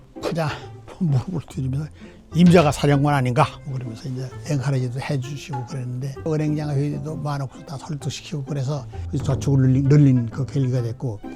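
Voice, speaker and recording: A man's voice sits fairly high in pitch, with fairly even intonation. Behind him, music is playing. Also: fairly quick pace. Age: 80s+. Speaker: former government minister. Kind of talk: interview answer.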